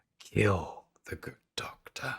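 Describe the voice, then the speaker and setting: Whispering in a raspy, put-on character voice, a man takes on a sinister tone. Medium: actual play. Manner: coaxing and sinister.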